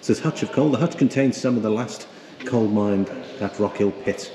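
Noticeable background noise surrounds a man with a fairly low pitch. He speaks at a very fast pace. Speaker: travel vlogger. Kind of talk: casual vlog chat. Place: tunnel cave. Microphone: phone near.

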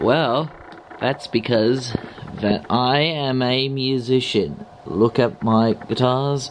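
Over faint background noise, a man speaks slowly at a medium pitch.

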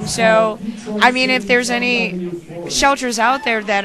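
A woman at a moderate pace, with a dry sound and no echo, and music clearly playing in the background. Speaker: guest. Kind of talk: interview answer. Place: bar. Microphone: handheld.

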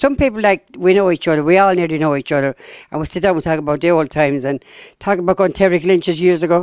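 Very fast speech over a quiet background, dry with no echo. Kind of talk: interview answer. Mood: warm, proud, cheerful. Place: hall. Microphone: handheld.

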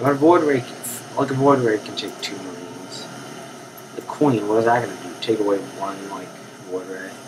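A man with a fairly low pitch talks at a moderate pace with ordinary pitch variation over noticeable background noise. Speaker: gaming commentator. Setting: recorded while playing a game on a Mac. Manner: casual, rambling, filler-heavy with frequent ums.

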